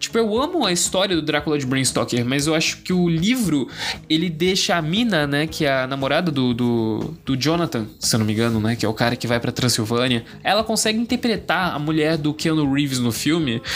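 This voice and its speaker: The man talks at a fairly quick pace with hardly any pauses and very even loudness. His fairly high voice shows very wide pitch swings. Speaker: podcast host. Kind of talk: casual solo monologue. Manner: casual, slangy.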